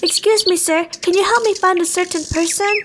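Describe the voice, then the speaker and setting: A woman puts on a squeaky character voice. She talks at a fairly quick pace with an extremely high pitch. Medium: read story. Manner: soft, sincere.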